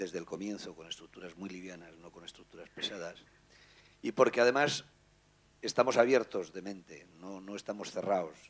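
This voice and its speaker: Pitched very deep and low, a man talks at a moderate pace with ordinary pitch variation. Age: 50s. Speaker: newspaper editor. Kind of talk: panel talk.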